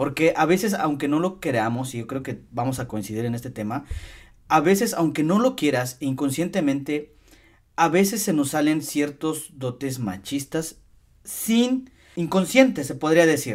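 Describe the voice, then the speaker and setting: In a normal speaking voice, a man speaks fairly slowly at a fairly high pitch with lively intonation. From Mexico, Hidalgo (Tasquillo). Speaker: podcast host. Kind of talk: casual interview chat.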